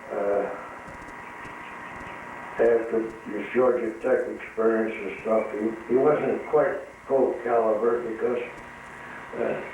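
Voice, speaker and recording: A man with an American accent at a medium pitch, speaking very slowly with fairly even intonation, long and frequent pauses, and noticeable background noise. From Midwestern US, Illinois. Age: 80s+. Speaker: retired tire factory worker. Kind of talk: interview answer. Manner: hesitant, reminiscing.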